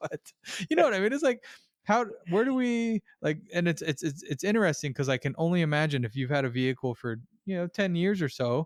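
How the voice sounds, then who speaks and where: A man with a Californian accent speaks at a high pitch, with very wide pitch swings and a fairly quick pace. The recording is very clean with a silent background and a dry, close sound with no echo. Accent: California. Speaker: podcast host and auto repair shop owner. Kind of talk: casual interview chat. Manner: abrupt, blunt; halting, many repetitions and fillers.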